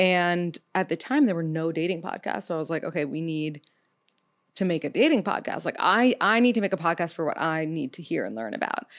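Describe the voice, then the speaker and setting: With a plain, everyday voice and an American accent, a woman speaks at a fairly quick pace with lively intonation in a very clean recording with a silent background. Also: fairly low pitch for a woman. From New York City. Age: 30s. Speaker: podcast host, dating expert. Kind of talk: casual interview chat. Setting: studio.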